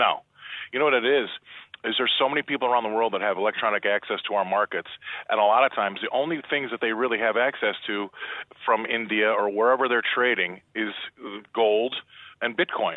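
A man with a medium pitch speaks at a fairly quick pace, his intonation fairly even, taking long, frequent pauses. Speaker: commodities market analyst. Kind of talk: radio interview. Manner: blunt, colloquial.

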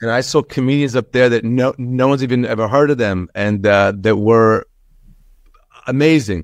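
Here a man talks at a moderate pace and medium pitch with ordinary pitch variation. The sound is dry and close with no echo, over a quiet background. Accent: New York. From Long Island, New York (from age seven; born in Israel). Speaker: comedian. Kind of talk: interview. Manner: animated.

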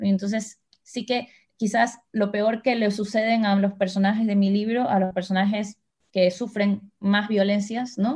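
Her somewhat breathy voice sits at medium pitch as this woman speaks with very even loudness and monotone, flat intonation. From Ecuador. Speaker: writer. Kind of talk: interview conversation. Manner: halting, with repetitions.

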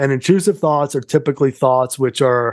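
The background is quiet. A man speaks at a fairly high pitch with fairly even intonation. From Massachusetts, South Shore (Somerset). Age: 50s. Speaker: mental health advocate and podcast host. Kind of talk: casual interview chat.

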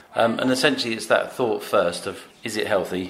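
A man's voice with noticeable background noise. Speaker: deli owner. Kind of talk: casual interview. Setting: in a cafe.

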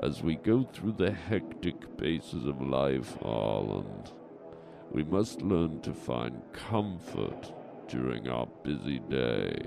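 A man puts on a character voice. He speaks at a very slow pace over clear background noise.

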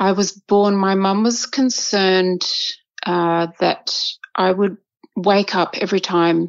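Ordinary pitch variation in an Australian accent. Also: woman. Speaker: violinist and conductor. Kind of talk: casual interview chat.

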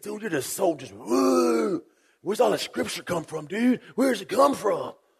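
Put-on character voice from a man, high-pitched, with lively intonation at a moderate pace. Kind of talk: casual. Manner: sarcastic, incredulous.

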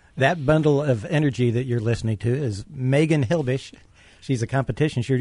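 Fairly high and somewhat breathy, a man's voice moves at a moderate pace. The background is quiet. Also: dry, close sound with no echo. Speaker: radio co-host. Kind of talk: casual banter, radio show.

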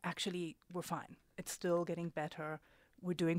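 This woman's voice sits fairly low and moves at a moderate pace. The recording is very clean and dry, close, with a silent background and no echo. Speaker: researcher. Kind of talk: radio interview. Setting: studio.

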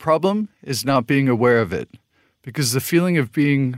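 A man's unremarkable speaking voice with an American accent, medium pitch, moderate pace and lively intonation, in a dry, close sound with no echo. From US Southwest, New Mexico. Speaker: podcast host. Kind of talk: interview; scripted narration.

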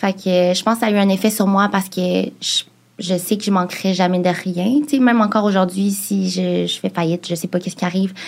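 A woman speaks at a fairly quick pace with a medium pitch, a somewhat breathy quality and fairly even intonation. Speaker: podcast co-host. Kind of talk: casual chat.

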